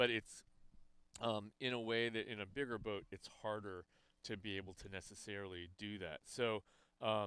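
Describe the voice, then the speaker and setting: In a bright, sharp tone, a man with fairly low pitch speaks at a moderate pace with fairly even intonation. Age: 60s. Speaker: rowing commentator and coach. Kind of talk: live sports commentary. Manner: halting, many fillers.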